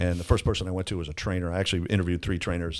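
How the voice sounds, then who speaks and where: A man with a very deep, low pitch talks with an American accent on a very clean recording with a silent background. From Florida. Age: 60s. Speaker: construction company owner. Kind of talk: casual chat.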